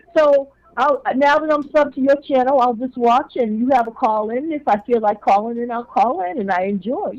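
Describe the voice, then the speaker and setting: The speech moves at a moderate pace with hardly any pauses. Pitch varies in an ordinary way. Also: woman, high pitch for a woman. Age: 60s. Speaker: caller to a live call-in show. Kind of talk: casual chat.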